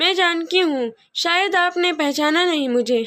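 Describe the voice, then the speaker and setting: In a put-on character voice, a woman speaks at an extremely high pitch. Her pace is fairly slow. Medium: read story. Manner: gentle, modest.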